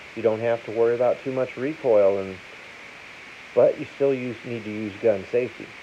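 Light background noise sits behind a man speaking at a medium pitch. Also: fairly even intonation, moderate pace. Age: 50s. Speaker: gun seller and video host; gun seller, video host. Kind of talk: casual talk to camera. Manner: plain, unpolished speech. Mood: opinionated, persuasive. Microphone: phone near.

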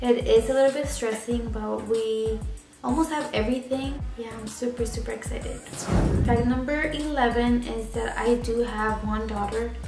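A woman at a moderate pace over clear background music. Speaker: vlogger. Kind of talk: casual talk to camera. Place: home room. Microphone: camera far.

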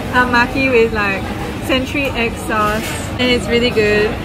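Dry sound with no echo, and clear music in the background. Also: woman. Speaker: food vlogger. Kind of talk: casual vlog chat. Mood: cheerful, relaxed. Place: cafe. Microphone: phone near.

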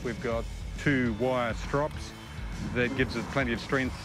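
A man talks at a moderate pace. Clear music plays in the background, and the sound is dry with no echo. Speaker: presenter. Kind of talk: product demonstration. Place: open country.

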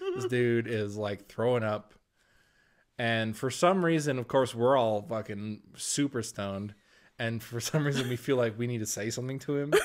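A man talks in an ordinary speaking voice at a medium pitch and moderate pace, with ordinary pitch variation. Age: 20s. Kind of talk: casual chat.

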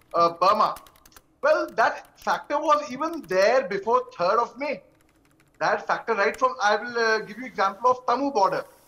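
Bright and sharp, the tone cuts through. The voice is raised and projected. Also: man. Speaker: panelist. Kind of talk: interview answer. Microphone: video call.

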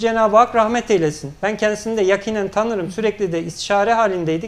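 Here a man speaks with a high pitch at a fairly quick pace. His intonation is fairly even. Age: 30s. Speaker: local party chairman; guest. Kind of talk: political TV interview. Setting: TV studio. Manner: formal. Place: studio. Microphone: lapel.

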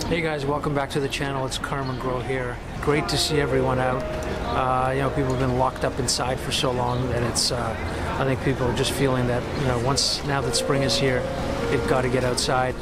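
Loud noise sits in the background as a man talks at a fairly quick pace. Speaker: street photographer vlogger. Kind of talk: casual vlog chat. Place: street. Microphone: phone near.

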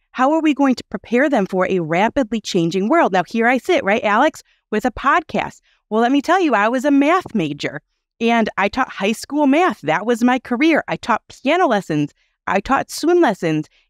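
Against a quiet background, a woman with a fairly high voice speaks at a moderate pace, her pitch swinging very widely in a dry sound with no echo. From US Midwest. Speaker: parenting podcast host. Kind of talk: interview. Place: home room. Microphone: headset.

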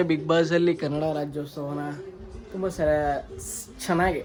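With noticeable noise behind him, a man talks in a flat monotone. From Karnataka, Bengaluru. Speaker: vlogger and sales executive. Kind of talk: casual vlog monologue.

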